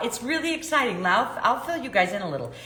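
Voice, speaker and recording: A woman speaks with a Chicago accent, her pitch swinging very widely. The room echo is audible, and there is noticeable background noise. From US Midwest, South Side of Chicago. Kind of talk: live stream talk to viewers. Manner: casual, filler-heavy.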